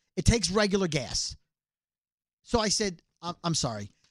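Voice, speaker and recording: A man with a New York accent, in a dry, close sound with no echo and a very clean recording over a silent background. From Brooklyn, New York. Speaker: podcast co-host, radio personality. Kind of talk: casual comedic banter. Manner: fast talker.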